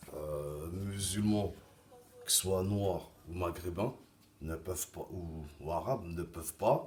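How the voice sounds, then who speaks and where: A soft-spoken man. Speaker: vlogger. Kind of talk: opinion monologue. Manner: halting.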